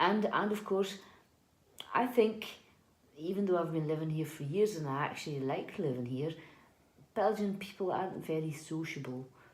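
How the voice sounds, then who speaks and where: With a Scottish accent, a woman of fairly low pitch speaks with ordinary pitch variation amid audible room echo. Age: 40s. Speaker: housekeeper. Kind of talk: interview. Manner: hesitant, many fillers and repeats.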